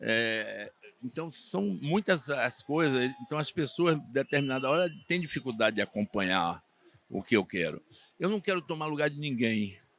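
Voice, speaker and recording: In a dry, close sound with no echo, a man with a fairly high pitch speaks at a moderate pace with very wide pitch swings. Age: 70s. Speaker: swimming coach and sports official. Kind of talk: interview.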